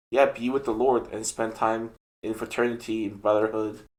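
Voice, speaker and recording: With a non-native accent, a man speaks at a moderate pace. His medium pitch stays monotone and flat. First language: not English. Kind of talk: casual chat. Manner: hesitant, many fillers.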